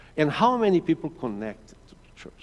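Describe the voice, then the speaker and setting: With a Portuguese accent, a man speaks at a moderate pace in a fairly high pitch. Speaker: mission director. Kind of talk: church presentation.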